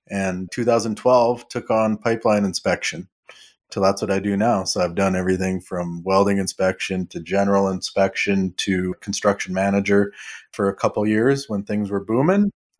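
A man speaks at a moderate pace with a fairly low pitch. His intonation stays fairly even, and the recording is very clean with a silent background. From Canada, southern Alberta (Lethbridge). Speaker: pipeline welder and inspector, wellness coach. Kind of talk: interview.

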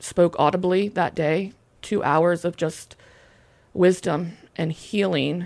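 At a very slow pace with long, frequent pauses, a woman speaks in an American accent at a fairly low pitch, in a very clean recording with a silent background. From US South. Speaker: human trafficking survivor. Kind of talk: testimony.

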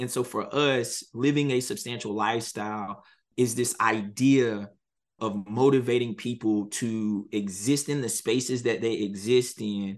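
A man talks with an American accent in an ordinary speaking voice. The background is quiet. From North Carolina, Halifax County (rural). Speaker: media company CEO. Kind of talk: interview.

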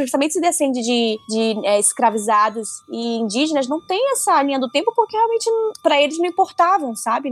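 Over noticeable background noise, a woman talks at a fairly quick pace and a high pitch. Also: dry, close sound with no echo. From Manaus, Amazonas, northern Brazil. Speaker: comics editor. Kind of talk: casual chat.

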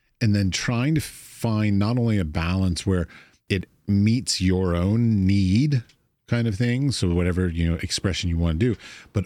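A man with an American accent and a very deep, low pitch, at a fairly slow pace, on a very clean recording with a silent background. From United States. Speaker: podcast host and artist. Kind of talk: casual interview chat.

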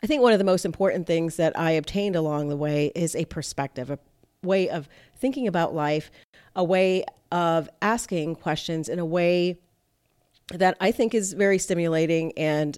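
Heard on a very clean recording with a silent background, a woman with an American accent uses a normal speaking voice, fairly low in pitch, with ordinary pitch variation and a moderate pace. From South Florida (Miami / Fort Lauderdale). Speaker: evolutionary psychologist, podcast host. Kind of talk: casual podcast monologue.

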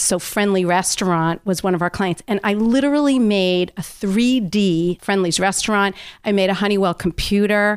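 A woman's ordinary speaking voice at medium pitch, with ordinary pitch variation and a moderate pace, dry and close with no echo on a very clean recording over a silent background. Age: 60s. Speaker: health coach and entrepreneur. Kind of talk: interview. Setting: makeshift home studio.

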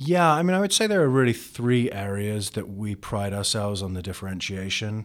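On a very clean recording with a silent background, a man with an American accent and a fairly low pitch speaks at a fairly quick pace with lively intonation and hardly any pauses. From England, London. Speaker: tech education company founder. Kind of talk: interview. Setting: in person, office.

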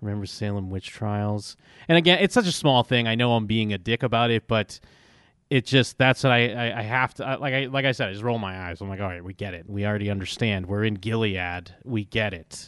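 A man's ordinary speaking voice, fairly low in pitch, fairly quick, with big swings in loudness. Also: ordinary pitch variation. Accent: American. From Massachusetts, US. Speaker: podcast co-host. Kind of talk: casual TV recap discussion.

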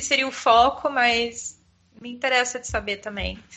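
Here a woman talks at a fairly slow pace. Her pitch is high. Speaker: podcast host. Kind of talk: casual chat.

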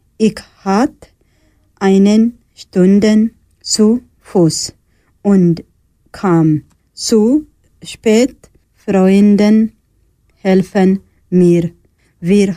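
A woman with a non-native accent speaks at a medium pitch in a dark, mellow tone, with ordinary pitch variation and very even loudness. Her pace is very slow, with long, frequent pauses. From Eritrea. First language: not German (speaking German). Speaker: asylum seeker, radio workshop participant. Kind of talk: reading a prepared text.

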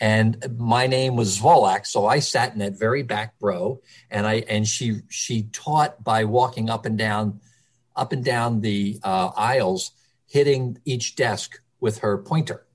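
This man speaks with an American accent and a medium pitch. His voice is somewhat breathy, with fairly even intonation. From Philadelphia, Kensington. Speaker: early childhood center director. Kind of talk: interview.

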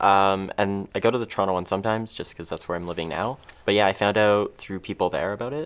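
On a very clean recording with a silent background, a man with a Canadian accent talks very fast at a fairly low pitch with ordinary pitch variation. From Ontario, Canada (Mississauga). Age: 20s. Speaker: filmmaker and patient advocate. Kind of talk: interview.

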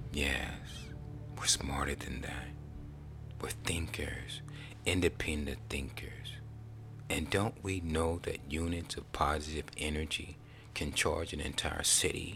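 Someone whispers in an intense tone at a fairly slow pace, with long, frequent pauses. Music plays in the background. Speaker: spoken word poet. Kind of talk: spoken word poetry, motivational. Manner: intense, emotive, rhythmic, repetitive phrasing.

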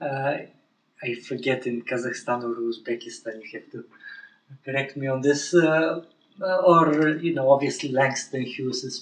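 A man with a Bulgarian accent at medium pitch, a moderate pace and fairly even intonation. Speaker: professor. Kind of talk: interview. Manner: halting.

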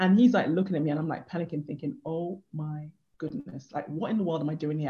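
The speaker talks at a very fast pace in a dark, mellow, somewhat breathy tone with ordinary pitch variation. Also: woman. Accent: British. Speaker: life coach. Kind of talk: interview.

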